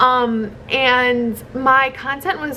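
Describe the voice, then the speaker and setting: A woman's high-pitched voice is raised and projected. Noticeable background noise runs behind her. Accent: American. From US Midwest, Chicago. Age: 20s. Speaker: content creator. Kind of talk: casual vlog monologue. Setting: hotel room. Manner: chatty, many fillers.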